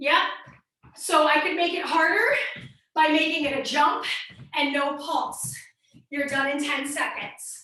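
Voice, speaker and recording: A woman's raised, projected voice, high-pitched, bright and sharp, energetic in tone, with an American accent, a fairly slow pace, long, frequent pauses and audible room echo. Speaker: fitness instructor. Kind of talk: workout instruction. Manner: energetic, coaching.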